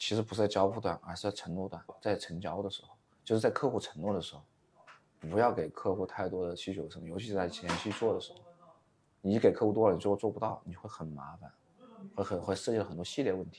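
At a very fast pace, a man with fairly low pitch and ordinary pitch variation speaks with big swings in loudness. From Wuhan, China. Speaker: short-video agency owner. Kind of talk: interview.

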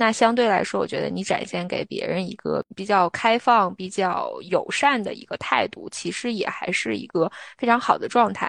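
The sound is dry and close with no echo. A woman speaks at a moderate pace. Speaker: podcast co-host. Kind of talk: casual chat.

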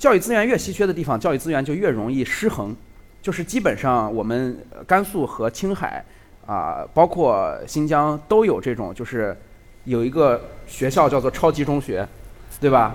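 The speaker is a man with a fairly high pitch. His pitch swings very widely at a moderate pace. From Lanzhou, Gansu, China. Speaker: video creator. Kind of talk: live talk show chat. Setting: stage with audience.

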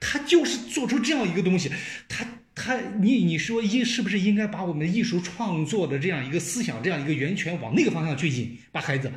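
Audible room echo follows a man whose high pitch swings very widely as he talks at a fairly quick pace. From China. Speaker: television journalist. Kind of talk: casual chat.

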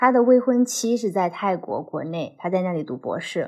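A woman's ordinary speaking voice, fairly slow in pace, with lively intonation. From China. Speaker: former PhD student in the US. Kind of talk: casual chat.

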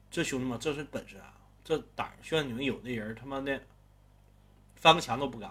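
A man with a Northeastern Chinese accent speaks at a fairly quick pace with a bright, sharp tone and fairly even intonation. His loudness swings widely, and he takes long, frequent pauses. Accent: Northeastern Mandarin. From Northeast China. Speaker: storyteller. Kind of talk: storytelling narration. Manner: casual, conversational.

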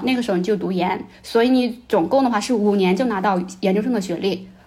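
A woman speaks with audible room echo. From China. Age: 30s. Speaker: former NGO worker in Africa. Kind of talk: casual chat.

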